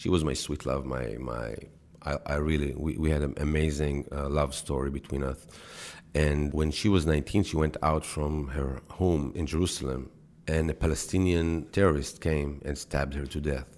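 With an Israeli accent, a man speaks at a very deep, low pitch. His pace is moderate and his intonation fairly even. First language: Hebrew. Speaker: actor and TV creator. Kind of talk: interview.

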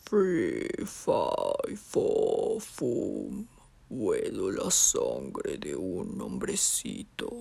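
Someone does a put-on character voice at a very slow pace. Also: man, extremely high pitch for a man. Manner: menacing, sniffing for prey.

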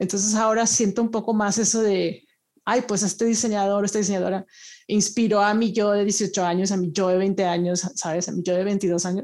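A woman speaks in a monotone, flat intonation at very even loudness, on a very clean recording with a silent background. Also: medium pitch for a woman, moderate pace. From Monterrey, northern Mexico. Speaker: design researcher. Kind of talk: interview.

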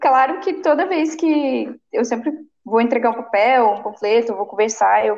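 A woman with a plain, everyday voice speaks at a fairly high pitch. Her intonation is lively and her pace fairly slow. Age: 20s. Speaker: city council candidate. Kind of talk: interview.

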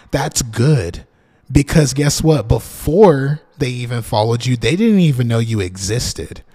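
Somewhat breathy, the man talks with lively intonation. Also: medium pitch for a man, fairly slow pace. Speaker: marketing consultant podcaster. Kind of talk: solo podcast monologue. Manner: casual, many fillers.

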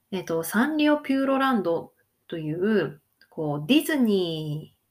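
This woman's pitch swings very widely as she speaks. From Hokkaido, Japan. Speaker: Japanese language teacher, podcaster. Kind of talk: casual monologue for Japanese learners. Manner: casual, frequent fillers.

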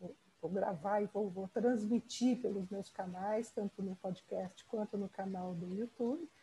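The voice moves at a fairly slow pace, somewhat breathy and dark and mellow in tone, with ordinary pitch variation. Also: woman, medium pitch for a woman. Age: 60s. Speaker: podcast host. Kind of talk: interview.

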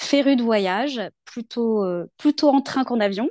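A woman's lively, up-and-down intonation, recorded dry and close with no echo against a quiet background. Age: 40s. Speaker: local political activist. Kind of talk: interview conversation.

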